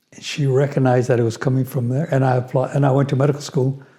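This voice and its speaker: With an American accent, a man speaks in a dark, mellow tone that is somewhat breathy. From US Southwest, New Mexico and Los Angeles. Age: 80s+. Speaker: retired physician. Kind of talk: interview storytelling.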